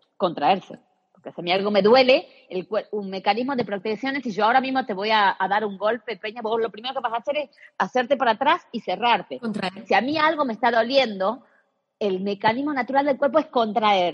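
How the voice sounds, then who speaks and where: Speaking at a fairly quick pace, a woman with an ordinary speaking voice and fairly high pitch uses lively intonation, in a dry, close recording with no echo. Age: 40s. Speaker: personal trainer, pelvic floor specialist. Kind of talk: interview.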